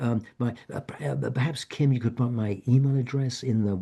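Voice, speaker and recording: A man speaks in a dark, mellow, somewhat breathy tone with ordinary pitch variation. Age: 70s. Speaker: author and end-of-life educator. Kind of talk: online info session presentation. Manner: halting, many repetitions and false starts.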